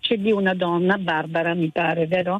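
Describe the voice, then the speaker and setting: Speaking at a moderate pace with a medium pitch and fairly even intonation, the woman has a plain, everyday voice. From Calabria, Italy. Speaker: teacher. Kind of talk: radio phone-in call. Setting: phone call.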